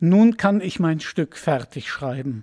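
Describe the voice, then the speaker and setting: A man's fairly high, somewhat breathy voice with a dark, mellow tone, very wide pitch swings, a very slow pace, and a dry, close sound with no echo. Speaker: voice actor. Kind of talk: audiobook fairy tale reading.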